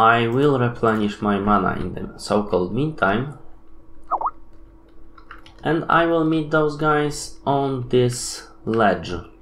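Audible room echo surrounds a fairly bright tone delivered at a slow pace with ordinary pitch variation. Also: man, medium pitch for a man.

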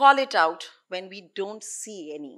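A woman talks in a bright, sharp tone. The background is quiet. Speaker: anti-trafficking activist. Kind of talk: conference talk. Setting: stage with audience. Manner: earnest. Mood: earnest, reflective. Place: stage. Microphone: podium.

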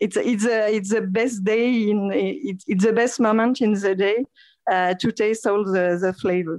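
A woman's fairly high voice with a French accent and ordinary pitch variation. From France. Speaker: entrepreneur, co-founder. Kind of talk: radio interview. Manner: halting.

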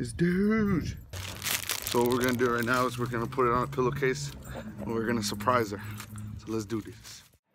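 Fairly quick speech with a dry sound with no echo and noticeable background noise. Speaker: vlogger. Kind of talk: casual vlog chat. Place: garden. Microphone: phone near.

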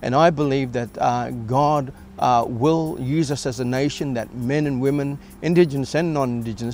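Music plays in the background of this dry recording with no echo. A man speaks at a moderate pace with ordinary pitch variation. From Atherton Tablelands, Queensland, Australia. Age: 50s. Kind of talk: testimony interview talk. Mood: earnest, faith-filled. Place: garden.

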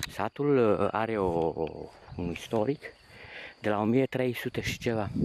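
Against light background noise, a man speaks very slowly with ordinary pitch variation, the sound dry with no echo. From Romania, Transylvania (Bistrița area village); Transylvania, Romania. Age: 50s. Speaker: painter. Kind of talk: video diary narration. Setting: outdoors. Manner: animated. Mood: nostalgic, warm. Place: open country. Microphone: phone near.

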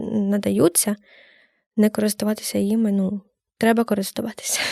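A woman speaks in a fairly high pitch with a dark, mellow tone and monotone, flat intonation. The sound is dry and close, with no echo. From Ukraine, Kamianske. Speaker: student journalist. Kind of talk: casual interview. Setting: studio.

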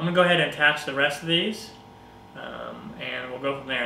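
Fairly even intonation comes through audible room echo and light background noise. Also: man. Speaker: craft tutorial maker. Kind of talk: tutorial. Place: home room. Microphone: camera far.

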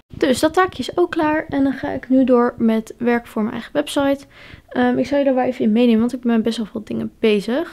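A woman's high-pitched voice, dark and mellow in tone, at a fairly quick pace against a quiet background. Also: ordinary pitch variation. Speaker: pony owner vlogger. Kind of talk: vlog narration. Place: home room. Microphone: phone near.

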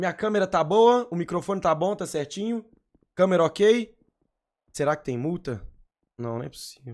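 With a high pitch and lively intonation, a man talks at a moderate pace, leaving long, frequent pauses. His loudness swings widely against a quiet background. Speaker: game streamer. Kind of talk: live gaming roleplay stream. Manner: animated. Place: home room. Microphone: headset.

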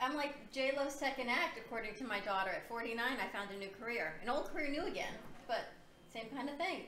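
Over noticeable background noise and audible room echo, a woman with a fairly high pitch speaks at a fairly quick pace with lively intonation. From Puerto Rico. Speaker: talk show co-host. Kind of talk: casual chat. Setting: studio.

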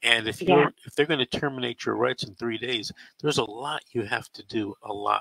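The sound is dry with no echo and a quiet background as a man speaks at a moderate pace. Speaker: call-in show host. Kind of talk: advice to caller on live show. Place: studio. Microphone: headset.

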